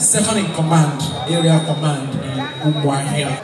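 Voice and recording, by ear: A man with a fairly high pitch talks at a moderate pace with ordinary pitch variation, with clear crowd noise and other clear background noise behind him and audible room echo.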